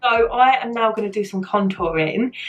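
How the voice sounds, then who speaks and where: A woman with a British accent speaks at a fairly high pitch over background music. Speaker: beauty vlogger. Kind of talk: casual talk to camera. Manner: light-hearted, chatty.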